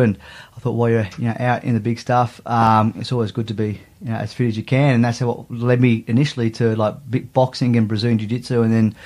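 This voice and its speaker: In an Australian accent, a man talks very fast at a medium pitch. The recording is very clean, the background silent. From Australia, Sydney (Maroubra). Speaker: big wave surfer and former fighter. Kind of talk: casual interview.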